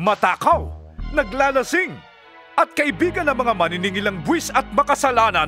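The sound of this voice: A man's put-on character voice, extremely high in pitch with big pitch swings and a bright, sharp tone, at a moderate pace over faint music in the background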